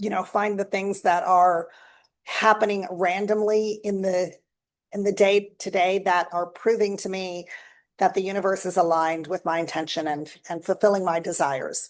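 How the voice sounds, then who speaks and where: Moderate pace from a woman at medium pitch, fairly even intonation, a quiet background. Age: 60s. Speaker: lifestyle vlogger. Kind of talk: casual monologue. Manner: halting, with fillers and restarts.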